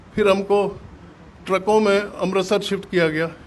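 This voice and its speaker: Fairly even intonation in a man's high voice. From Punjab, Pakistan (Jhelum district). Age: 80s+. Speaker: partition survivor, businessman. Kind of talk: testimony. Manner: halting.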